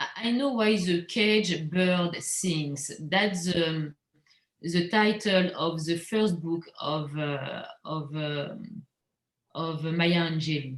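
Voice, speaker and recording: The speaker has a French accent and a very slow pace. Pitch variation is ordinary. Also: woman, fairly low pitch for a woman. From Normandy, France, teen years in Guadeloupe. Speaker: visual artist. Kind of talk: interview. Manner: halting.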